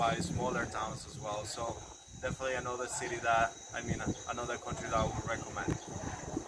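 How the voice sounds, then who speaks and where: Over loud background noise, a man with a Spanish accent talks at a fairly quick pace. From Colombia. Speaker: travel vlogger. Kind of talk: casual monologue. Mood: relaxed and friendly. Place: open country. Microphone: phone near.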